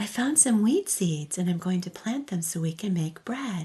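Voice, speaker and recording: Soft-spoken and somewhat breathy, a woman speaks at a fairly slow pace with a medium pitch. Her tone is soothing and her intonation lively. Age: old. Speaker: storyteller. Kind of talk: bedtime story. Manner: soft-spoken, soothing.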